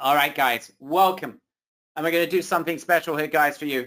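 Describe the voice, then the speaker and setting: A hoarse, put-on character voice moves at a fairly quick pace. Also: man, fairly high pitch for a man. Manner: energetic sales-pitch delivery.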